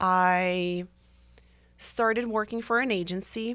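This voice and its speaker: Very clean recording with a silent background, a woman at medium pitch with a bright, sharp tone. She talks fairly slowly with fairly even intonation. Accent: Portuguese. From Brazil. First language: Portuguese. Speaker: therapist. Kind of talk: podcast monologue. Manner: casual with frequent fillers.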